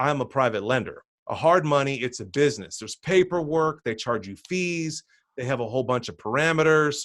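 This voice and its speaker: The speaker uses lively intonation with an American accent, recorded with a dry, close sound and no echo. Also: man. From New Jersey. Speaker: real estate investor. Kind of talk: webinar presentation. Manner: fast.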